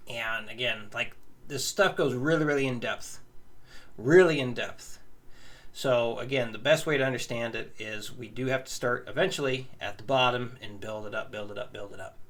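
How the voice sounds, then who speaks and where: In an ordinary speaking voice, a man talks at a moderate pace and medium pitch, with ordinary pitch variation and big swings in loudness. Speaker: guitar teacher. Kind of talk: tutorial.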